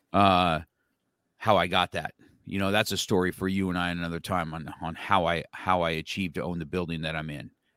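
A man's very deep, low voice with an American accent, fairly quick, in a dry, close sound with no echo. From United States. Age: 60s. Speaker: podcast host, martial arts school owner. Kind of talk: casual interview. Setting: video call. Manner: animated.

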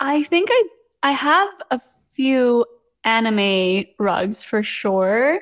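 A high-pitched woman's voice at a very slow pace, with long, frequent pauses, very wide pitch swings and very even loudness. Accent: West Coast US. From Los Angeles, US (born in Seoul, moved at five). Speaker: content creator, rug maker. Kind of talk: casual interview chat.

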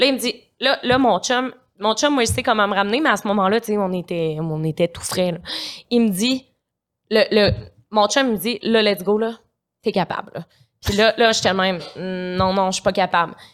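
Animated in tone, the voice moves at a moderate pace with ordinary pitch variation and long, frequent pauses. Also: woman, medium pitch for a woman. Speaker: social media influencer. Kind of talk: casual chat. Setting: studio.

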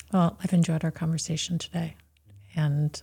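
At a fairly quick speed, the speaker uses a dark, mellow tone that is somewhat breathy. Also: woman. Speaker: radio host. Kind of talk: interview. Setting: studio.

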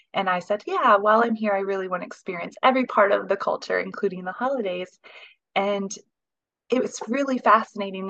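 This woman has an American accent. Her voice sits at a medium pitch. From Indiana, US Midwest. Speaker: CEO of a Christmas market. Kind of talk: interview.

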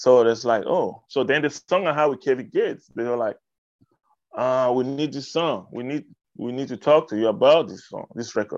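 Speaking with an African accent, a man keeps a medium pitch, ordinary pitch variation and a moderate pace, while his loudness swings widely. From Cameroon. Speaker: hip hop artist. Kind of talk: casual interview chat. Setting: radio interview.

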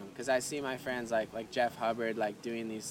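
A man with a Hawaiian accent speaks at a medium pitch and a moderate pace. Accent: Hawaiian American English. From Hawaii, Kauai. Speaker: professional bodyboarder and cafe owner. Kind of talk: casual interview chat. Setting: outdoor cafe.

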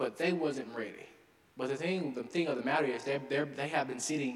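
Through noticeable background noise and audible room echo, a man with a Southern US accent speaks with ordinary pitch variation. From Arkansas. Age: young. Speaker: mayor. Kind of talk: speech. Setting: stage with audience.

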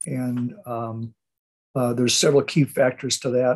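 Moderate pace from a man with an American accent, medium pitch and fairly even intonation. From Southern California. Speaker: investment newsletter host. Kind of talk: solo radio commentary. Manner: halting, many fillers.

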